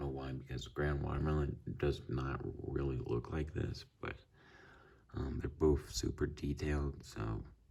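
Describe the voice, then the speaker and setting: A man's very deep, low voice, fairly slow and monotone, with long, flat delivery and long, frequent pauses. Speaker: banknote collector. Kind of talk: casual talk to camera.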